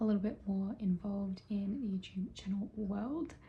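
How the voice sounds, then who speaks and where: A woman speaks quietly with an Australian accent. Her tone is dark, mellow and somewhat breathy. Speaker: vlogger. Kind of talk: casual vlog monologue.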